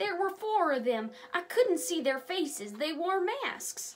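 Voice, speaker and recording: A woman puts on a character voice, pitched extremely high and swinging very widely in pitch. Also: fairly slow pace. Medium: read story.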